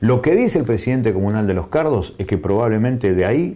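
Lively intonation marks this man's fairly low voice. His tone is dark and mellow. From Argentina. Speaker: provincial legislator and journalist; journalist. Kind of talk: interview. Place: studio. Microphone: lapel.

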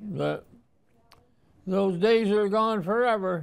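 Speaking with an American accent, a man uses a high pitch, ordinary pitch variation and a fairly slow pace. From Watertown, New York. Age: 90s. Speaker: Navy veteran. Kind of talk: interview answer. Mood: reflective, proud, nostalgic. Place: home room.

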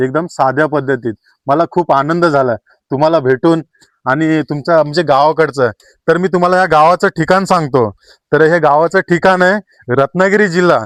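An unremarkable speaking voice comes through with very even loudness and a dry, close sound with no echo. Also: man, fairly high pitch for a man, ordinary pitch variation. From Konkan, Ratnagiri district, Maharashtra. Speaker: vlogger. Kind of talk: vlog walkthrough. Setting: outdoors and inside a village house.

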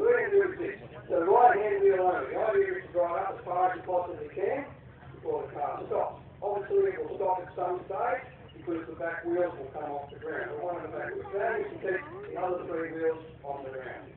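A man's fairly quick speech with big swings in loudness, strong room echo and noticeable background noise. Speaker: event announcer. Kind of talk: explaining rules to a crowd. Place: open country.

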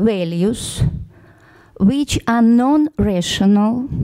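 Speaking very slowly, a woman with a Russian accent has a dark, mellow tone, a fairly high pitch and lively intonation. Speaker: social scientist on a conference panel. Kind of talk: conference panel presentation. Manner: halting, many hesitations and false starts.

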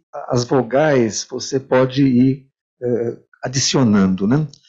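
This man's intonation is fairly even. He speaks very slowly. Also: quiet background. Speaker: moderator. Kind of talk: panel discussion. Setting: stage with audience. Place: meeting room.

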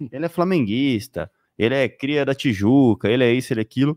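Lively intonation from a man, dry sound with no echo and a quiet background. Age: 20s. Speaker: football commentator; show host. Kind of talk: live sports talk show. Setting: studio. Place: studio. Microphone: studio mic.

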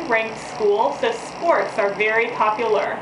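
The speech moves at a fairly slow pace. Noticeable background noise can be heard. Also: woman. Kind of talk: promotional talk to prospective students. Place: office. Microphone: camera far.

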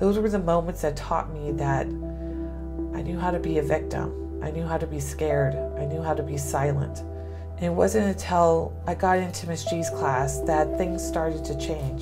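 Over clear music in the background, a woman talks at a moderate pace with ordinary pitch variation. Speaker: guest. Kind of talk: personal story told to students. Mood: serious, emotional recollection. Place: office. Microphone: lapel.

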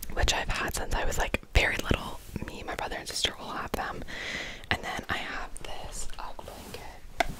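A woman is whispering. Her pace is moderate. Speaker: room tour host. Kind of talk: casual vlog chat. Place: home room. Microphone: handheld.

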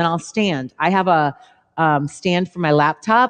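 An unremarkable speaking voice from a woman, fairly low in pitch, with ordinary pitch variation, a moderate pace and a quiet background. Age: 50s. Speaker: fitness trainer and show host; fitness trainer host. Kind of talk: live Q&A chat. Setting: studio live stream. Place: studio.

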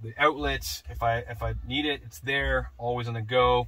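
At a fairly slow pace, a man speaks. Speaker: truck owner demonstrating setup. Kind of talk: tutorial. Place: car. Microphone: camera far.

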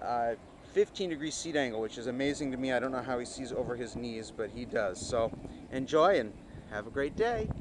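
Over noticeable background noise, a man speaks at a fairly quick pace with ordinary pitch variation in a dry sound with no echo. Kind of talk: product walkthrough commentary. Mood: relaxed, enthusiastic. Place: garden. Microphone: phone near.

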